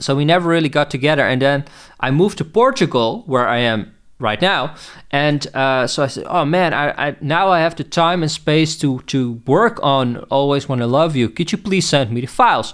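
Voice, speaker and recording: In a very clean recording with a silent background, a man talks at a moderate pace in a fairly high pitch with ordinary pitch variation. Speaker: music producer and podcast host. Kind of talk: casual podcast talk. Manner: halting, many fillers and repeats.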